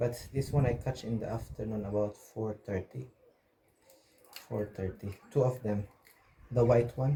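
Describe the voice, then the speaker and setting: Speaking at a fairly slow pace with long, frequent pauses, a man uses a medium pitch, a dark, mellow tone, fairly even intonation and a somewhat breathy sound. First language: Filipino language. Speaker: vlogger. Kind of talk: casual vlog narration. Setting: outdoors by the sea. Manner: halting, with fillers.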